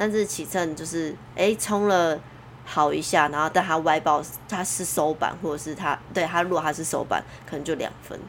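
A woman's fairly low-pitched voice, a normal speaking voice, at a moderate pace with fairly even intonation. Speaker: surf judge. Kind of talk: casual chat.

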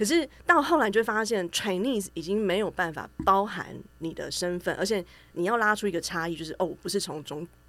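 A woman at a medium pitch and fairly quick pace, with ordinary pitch variation. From Taiwan, Taichung. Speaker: writer and researcher. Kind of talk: casual chat. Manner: hesitant fillers.

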